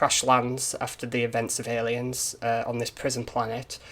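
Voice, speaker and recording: A man with a Yorkshire accent speaks at a medium pitch and a moderate pace, his tone bright and sharp. His intonation stays monotone and flat. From Yorkshire, northern England. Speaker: indie game developer and YouTuber. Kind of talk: casual monologue, film review. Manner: hesitant, many repeats and fillers.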